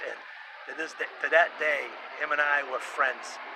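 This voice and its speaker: A man talks at a moderate speed as noticeable background noise carries on. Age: 60s. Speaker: retired snowmobile racer. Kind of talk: casual interview. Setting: event venue. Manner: animated.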